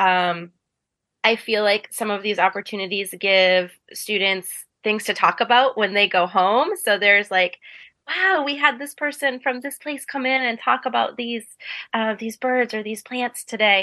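Over a quiet background, a woman with an American accent speaks at a moderate pace, her bright, sharp tone set at a fairly high pitch with ordinary pitch variation. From Maine, US (Ellsworth). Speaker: middle school teacher. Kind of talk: radio interview. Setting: remote call into a virtual radio studio.

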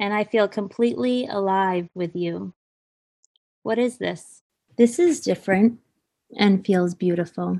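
Speaking with an American accent, a woman uses a medium pitch, a dark, mellow tone and ordinary pitch variation, leaving long, frequent pauses. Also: fairly slow pace. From Maine, US. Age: 40s. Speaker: guest storyteller. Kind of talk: reading aloud.

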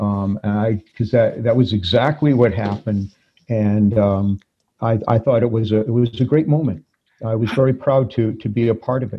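A man speaks at a moderate pace with a somewhat breathy voice. His intonation stays fairly even. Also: medium pitch for a man. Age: 60s. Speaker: former priest. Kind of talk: interview.

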